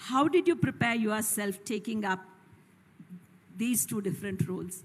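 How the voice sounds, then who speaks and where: Using a plain, everyday voice, a woman speaks at a moderate pace with a fairly high pitch and lively intonation. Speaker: student moderator. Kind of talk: reading out questions. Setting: college hall with audience. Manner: formal.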